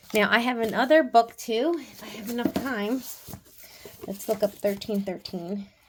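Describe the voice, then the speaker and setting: Noticeable background noise sits behind the recording. A woman speaks with ordinary pitch variation. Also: fairly high pitch for a woman, big swings in loudness. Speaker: tarot and oracle card reader. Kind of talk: oracle card reading. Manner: fast.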